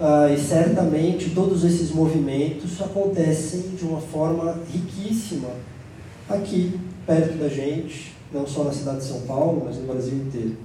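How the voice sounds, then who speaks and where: Noticeable background noise and audible room echo surround a man speaking at a fairly slow pace. His voice is fairly high, with ordinary pitch variation. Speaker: psychoanalyst and panel moderator. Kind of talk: panel moderation. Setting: stage with audience.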